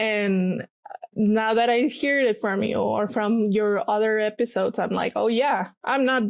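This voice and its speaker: In a Mexican accent, the speaker talks at a fairly slow pace with fairly even intonation and very even loudness. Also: woman, fairly high pitch for a woman. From Mexico, Guadalajara. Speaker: paper artist. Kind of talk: casual interview chat.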